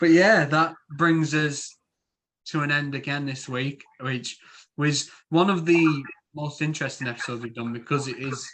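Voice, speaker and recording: A man in a Yorkshire accent, fairly high in pitch, at a moderate pace with fairly even intonation. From Yorkshire, northern England. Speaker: podcast host. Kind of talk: casual chat.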